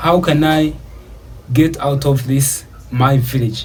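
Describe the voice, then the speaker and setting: Audible room echo and noticeable background noise accompany speech with fairly even intonation. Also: man. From Uganda. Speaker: YouTuber. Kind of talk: personal story monologue. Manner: casual, many filler words.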